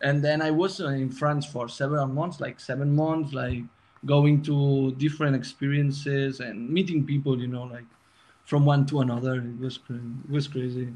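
The speaker sounds somewhat breathy, moving at a moderate pace with fairly even intonation. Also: man, fairly high pitch for a man. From Spain, Barcelona. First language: Spanish or Catalan. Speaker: music production student. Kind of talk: casual chat. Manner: halting.

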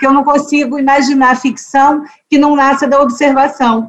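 A woman's high-pitched voice keeps to a moderate pace. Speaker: judge and author. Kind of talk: interview conversation.

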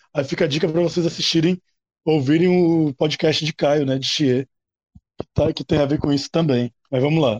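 Fairly high male pitch with fairly even intonation, a moderate pace, long, frequent pauses, and a dry, close sound with no echo. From Natal, Rio Grande do Norte, Brazil. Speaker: university lecturer, history. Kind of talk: panel discussion. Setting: recorded at night, table podcast.

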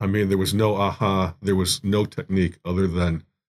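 With an American accent and a very deep, low pitch, a man speaks at a moderate pace with fairly even intonation. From US Midwest, Chicago area (Evanston). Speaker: art professor. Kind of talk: casual interview. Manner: halting, many fillers.

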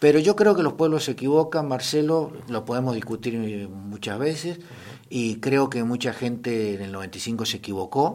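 With lively intonation and an ordinary speaking voice, a man talks at a fairly slow pace. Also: medium pitch for a man. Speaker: historian and history teacher. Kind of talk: radio interview.

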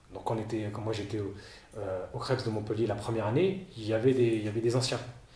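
Audible room echo and noticeable background noise surround a man speaking at medium pitch. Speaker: former baseball player and coach. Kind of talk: interview. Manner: halting, many repetitions.

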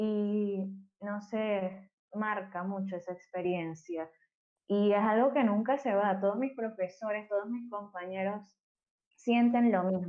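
Speaking with a Venezuelan accent, a woman keeps a medium pitch, fairly even intonation and a fairly slow pace. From Venezuela, Maracay. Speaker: electronic musician and architect. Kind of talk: casual interview conversation.

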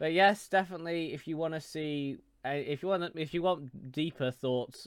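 A man with a normal speaking voice, a moderate pace and ordinary pitch variation. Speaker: podcast host and streamer. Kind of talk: casual chat. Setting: live stream, remote call.

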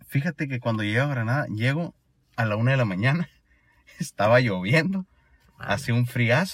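Somewhat breathy speech at a moderate pace, with long, frequent pauses, lively intonation and a dry, close sound with no echo. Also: man, medium pitch for a man. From Sonora, Mexico. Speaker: exchange student. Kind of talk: casual chat. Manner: casual slangy speech.

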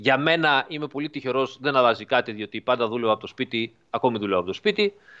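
A man at medium pitch, with lively intonation and a fairly quick pace, in a dry, close sound with no echo. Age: 40s. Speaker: driving simulator developer. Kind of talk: interview. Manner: halting.

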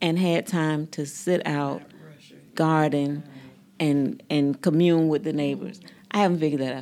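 With a Southern US accent, a woman speaks at a moderate pace in a very deep, low pitch with a dark, mellow tone, ordinary pitch variation, and long, frequent pauses. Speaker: podcast host. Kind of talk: group interview.

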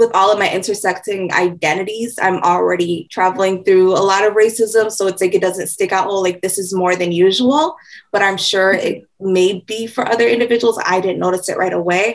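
A woman with an American accent has a plain, everyday voice and a medium pitch with ordinary pitch variation. She talks at a fairly quick pace with hardly any pauses. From Mankato, Minnesota. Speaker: community organizer. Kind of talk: interview.

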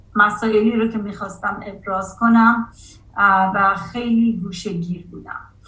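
Monotone, flat intonation from a medium-pitched woman at a fairly slow pace, with big swings in loudness and audible room echo. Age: 50s. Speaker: artist and college professor. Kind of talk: interview.

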